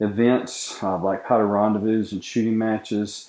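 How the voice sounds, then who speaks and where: A man with an Appalachian accent speaks at a moderate pace and fairly low pitch in a monotone, flat intonation, against a quiet background. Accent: Appalachian Southern US. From US South, western North Carolina (Boone). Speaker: knife maker. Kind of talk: interview. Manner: halting, frequent fillers.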